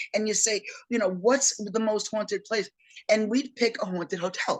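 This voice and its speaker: Intonation stays fairly even while the pace holds moderate. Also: woman, fairly high pitch for a woman. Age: 60s. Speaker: paranormal investigator and energy worker. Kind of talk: interview. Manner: halting.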